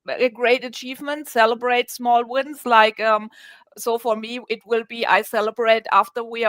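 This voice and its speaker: A woman's high voice at a moderate pace. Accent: German. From Germany. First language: German. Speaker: communication coach. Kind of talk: radio interview. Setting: radio show. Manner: halting, many fillers and restarts.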